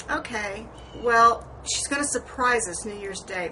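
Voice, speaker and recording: Moderately paced speech from a woman, her pitch varying in an ordinary way. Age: 60s. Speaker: beauty vlogger. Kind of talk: personal vlog monologue. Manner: rambling conversational, hesitant fillers.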